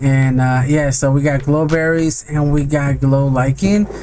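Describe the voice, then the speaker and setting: A man is speaking. Music plays in the background. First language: not English. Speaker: gaming video creator. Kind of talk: gameplay commentary. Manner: casual, hesitant with many fillers.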